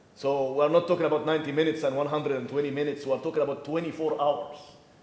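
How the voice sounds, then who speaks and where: Noticeable background noise and audible room echo around a fairly high male voice. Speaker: professor and structural engineer. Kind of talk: conference presentation. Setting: conference room with audience, no microphone. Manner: loud; halting, many repetitions.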